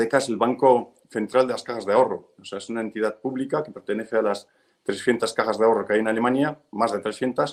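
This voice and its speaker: Talking very fast, a man keeps to a medium pitch. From Spain. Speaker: real estate fund manager. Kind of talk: webinar presentation. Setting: video webinar from his office.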